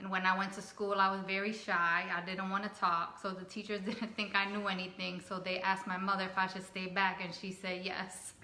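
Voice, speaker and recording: Over noticeable background noise, a woman with a Spanish accent talks at a fairly quick pace with hardly any pauses. Her medium-pitched voice has monotone, flat intonation. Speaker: family vlogger. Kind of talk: casual chat.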